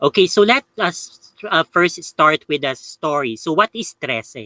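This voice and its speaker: In a Filipino accent, a man talks at a fairly slow pace in a high, bright, sharp voice whose pitch swings very widely. The sound is dry and close, with no echo. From Philippines. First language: Tagalog. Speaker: YouTuber, paranormal channel host. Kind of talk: live review. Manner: halting, many fillers.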